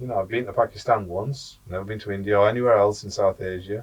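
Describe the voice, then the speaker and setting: A man's somewhat breathy voice comes through against a quiet background. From England, British Pakistani. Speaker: university lecturer. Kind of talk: podcast conversation.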